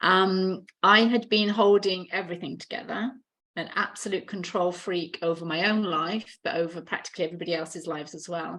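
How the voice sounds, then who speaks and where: In a British accent, a woman with a fairly low voice speaks at a moderate pace and fairly even intonation. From UK. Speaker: healer and mentor. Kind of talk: podcast interview.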